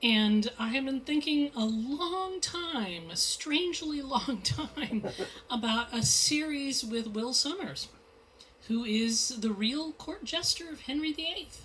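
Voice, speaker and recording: A loud woman speaks very slowly in a high pitch with lively intonation. Noticeable background noise is present. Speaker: mystery novelist. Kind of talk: author talk at bookstore. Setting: bookstore event with audience. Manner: animated.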